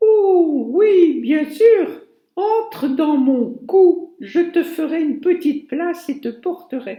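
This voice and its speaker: Her put-on character voice sits at an extremely high pitch. The woman talks at a very slow pace. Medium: read story.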